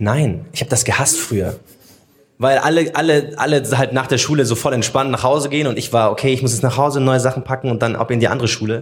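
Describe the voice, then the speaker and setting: Talking at a very fast pace, a man uses a medium pitch and fairly even intonation. His voice is somewhat breathy, with very even loudness. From Munich, Germany. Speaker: social media host and podcaster. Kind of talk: casual chat. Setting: live recording in a theatre foyer with audience.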